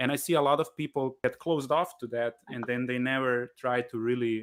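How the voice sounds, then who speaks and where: This speaker talks at a fairly quick pace with a Slovenian accent and a fairly even intonation. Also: man, medium pitch for a man. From Slovenia, Kranj. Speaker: jazz musician, bandleader. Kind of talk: live Q&A interview. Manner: halting, many repetitions.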